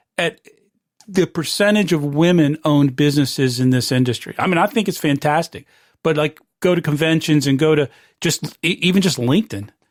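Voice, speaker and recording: An ordinary speaking voice from a man, fairly high in pitch with an American accent, at a fairly quick pace with ordinary pitch variation, recorded very cleanly over a silent background in a dry, close sound with no echo. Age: 60s. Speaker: podcast host. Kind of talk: interview.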